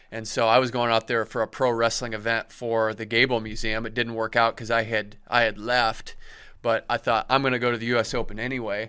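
A man at medium pitch with a bright, sharp tone and flat, monotone intonation, fairly quick in pace, on a very clean recording with a silent background. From Iowa, Cedar Falls. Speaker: wrestling writer and historian. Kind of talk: casual interview chat. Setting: studio.

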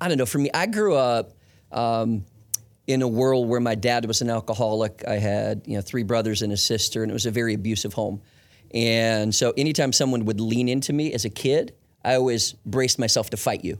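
Using an unremarkable speaking voice, a man talks at a fairly quick pace and medium pitch with fairly even intonation. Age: 40s. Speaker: church executive staff leader. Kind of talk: podcast interview.

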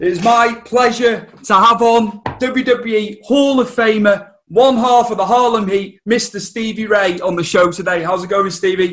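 Using hardly any pauses, a man speaks at a fairly slow pace in a high pitch with fairly even intonation. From North Wales, UK. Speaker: podcast host. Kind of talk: casual interview.

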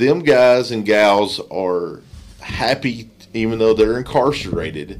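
Very slow speech from a man with an Appalachian accent, medium pitch, and noticeable background noise. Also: ordinary pitch variation. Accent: Appalachian Kentucky. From Letcher County, eastern Kentucky. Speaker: nonprofit director. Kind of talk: casual chat.

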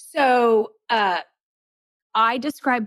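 With no echo at all, the sound of this woman's voice is dry and close. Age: 50s. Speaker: professional declutterer and author. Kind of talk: interview. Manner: casual, uses fillers.

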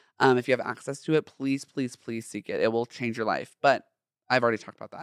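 A man with an American accent speaks at a medium pitch in an animated way, his tone bright and sharp, the sound dry and close with no echo on a very clean recording with a silent background. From Southern California, Orange County. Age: 20s. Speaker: podcast host. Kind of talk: casual monologue. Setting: studio.

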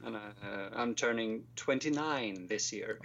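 This man speaks at a medium pitch with ordinary pitch variation and a Swedish accent. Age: 20s.

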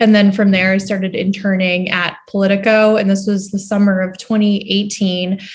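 A woman with an American accent and medium pitch speaks in a somewhat breathy voice at a moderate pace. Her intonation is monotone and flat, with hardly any pauses. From Boston area, Massachusetts. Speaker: political journalist. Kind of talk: interview.

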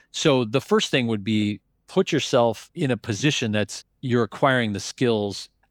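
Speaking in a plain, everyday voice at a medium pitch and a fairly slow pace, a man shows ordinary pitch variation, recorded very cleanly with a silent background and a dry, close sound with no echo. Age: 50s. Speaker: private equity investor and business school lecturer. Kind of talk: interview.

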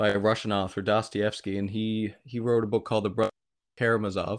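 A man talks with a normal speaking voice at medium pitch and a moderate pace, with a Canadian accent, against a quiet background. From Canada, Atlantic provinces. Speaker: podcaster. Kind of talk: casual chat.

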